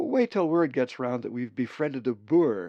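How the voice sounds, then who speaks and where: A man speaks at a moderate pace in a put-on character voice with a medium pitch. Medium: read story.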